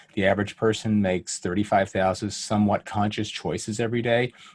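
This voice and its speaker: A man talks at a fairly quick pace in an ordinary speaking voice. His pitch is fairly low, with ordinary pitch variation. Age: 60s. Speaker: pediatric endocrinologist and author. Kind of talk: interview conversation.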